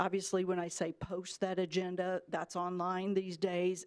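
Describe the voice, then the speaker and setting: With a plain, everyday voice, a woman speaks at a moderate pace and medium pitch, recorded with a dry, close sound and no echo. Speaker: public policy trainer. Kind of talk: orientation presentation. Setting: city commission meeting.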